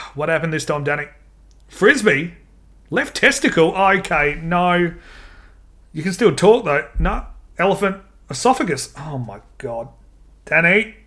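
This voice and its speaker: A man with a high pitch and a bright, sharp tone speaks at a fairly slow pace with lively intonation and long, frequent pauses. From Australia, Adelaide. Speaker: podcast host. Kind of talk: casual chat. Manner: animated.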